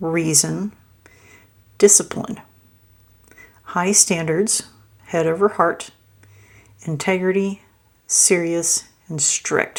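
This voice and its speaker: The speech moves at a very slow pace with long, frequent pauses. The intonation stays fairly even. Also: woman, fairly low pitch for a woman. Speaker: tarot reader. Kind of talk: tarot reading. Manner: halting, many fillers; mumbling.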